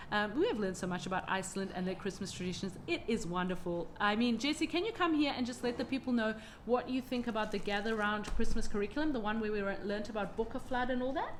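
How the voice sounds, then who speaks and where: Over noticeable background noise, someone with an Australian accent talks very fast with lively intonation and hardly any pauses. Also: woman, fairly high pitch for a woman. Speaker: homeschooling mother and channel host. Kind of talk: casual vlog chat. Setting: at home with children around. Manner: warm, enthusiastic.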